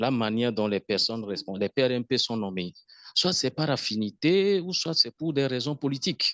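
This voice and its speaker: At a fairly slow pace, a man with a medium pitch makes very wide pitch swings. The sound is dry and close with no echo, and the background is quiet. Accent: Togolese. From Togo. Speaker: webinar participant. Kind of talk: online Q&A discussion.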